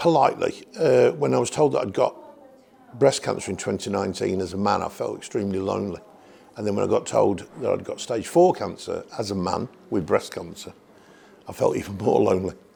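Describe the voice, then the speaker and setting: A man talks somewhat quickly while clearly audible noise sits in the background. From English Midlands, Birmingham. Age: 60s. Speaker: cancer patient. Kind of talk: testimony. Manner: halting.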